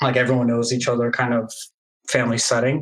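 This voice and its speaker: With music in the background, a man speaks in a Portuguese accent. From Brazil (Santos), then Tampa, Florida from about age 8. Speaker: gamer community member, interviewee. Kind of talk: casual interview. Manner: hesitant with many fillers.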